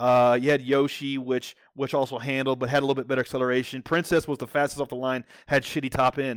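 A man's unremarkable speaking voice at a medium pitch and fairly quick pace, dry and close with no echo, on a very clean recording with a silent background. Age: 40s. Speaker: entrepreneur. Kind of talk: casual chat.

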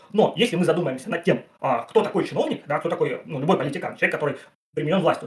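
A high-pitched man's voice with lively intonation. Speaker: philosophy PhD student and channel author. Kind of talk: casual philosophical discussion on a livestream. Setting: online livestream. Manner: fast.

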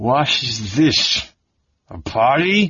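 This is a put-on character voice in an angry tone. It comes out growling. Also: man. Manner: growling, angry.

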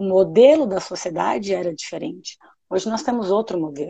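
Her pitch swinging very widely, a woman speaks at a medium pitch. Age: 40s. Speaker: pediatrician. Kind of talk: casual chat.

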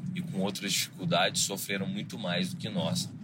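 Bright and sharp in tone, a man's medium-pitched voice moves at a moderate pace with very wide pitch swings. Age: 30s. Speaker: podcast host. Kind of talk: solo monologue podcast.

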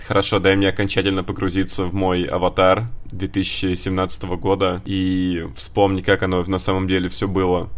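Here a man speaks with a very deep, low pitch. His pace is moderate and his intonation fairly even. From Russia, Voronezh. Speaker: podcast co-host. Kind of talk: casual chat.

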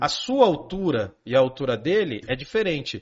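The animated voice swings very widely in pitch and carries vocal fry. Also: man. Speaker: philosophy teacher. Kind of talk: casual chat explaining philosophy.

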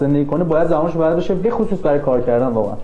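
A man's fairly high-pitched voice, with noticeable background noise and audible room echo. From Iran. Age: 20s. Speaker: graduate student. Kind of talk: interview.

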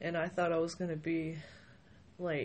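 This woman's voice sits fairly low in pitch and sounds somewhat breathy. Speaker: guest with bipolar disorder, makeup artist. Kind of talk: casual interview. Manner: hesitant, halting with many fillers.

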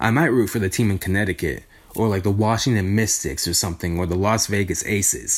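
At a moderate pace, a man talks in an ordinary speaking voice with a fairly low pitch and ordinary pitch variation. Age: 20s. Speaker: podcast host and youtuber. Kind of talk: casual solo monologue. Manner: casual, with many filler ums.

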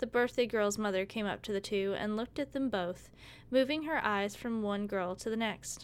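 The speaker does plain reading aloud. The pitch variation is ordinary.

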